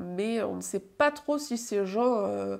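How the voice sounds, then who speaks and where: A woman with a fairly high pitch. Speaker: book vlogger. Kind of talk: casual vlog monologue. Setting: home video recording. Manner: casual, animated, self-deprecating. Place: home room.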